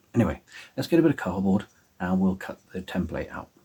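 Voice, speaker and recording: A soft-spoken, somewhat breathy man with an English accent talks at a very fast pace in a very deep, low pitch. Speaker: prop maker and cosplay vlogger. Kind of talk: tutorial. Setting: at home. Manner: halting.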